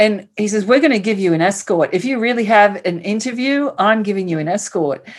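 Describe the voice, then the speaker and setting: A woman's medium-pitched voice with ordinary pitch variation, at a fairly quick pace and with hardly any pauses. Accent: American. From Queens, New York. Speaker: author and speaker. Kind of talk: interview, personal testimony. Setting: remote call across countries.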